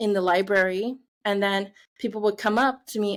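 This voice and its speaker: On a very clean recording with a silent background, the speaker talks with an American accent. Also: woman. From Indiana, US Midwest. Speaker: artist and educator. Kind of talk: interview conversation. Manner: halting, many fillers.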